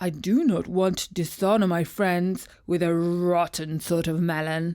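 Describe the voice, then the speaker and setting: A put-on character voice at a middle pitch and moderate pace, in a very clean recording with a silent background. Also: female-sounding voice. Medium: read story. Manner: whiny, wheedling.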